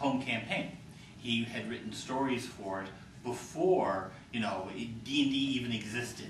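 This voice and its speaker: A man's voice comes through audible room echo and noticeable background noise. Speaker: game and fiction writer. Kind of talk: panel discussion. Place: hall. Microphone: camera far.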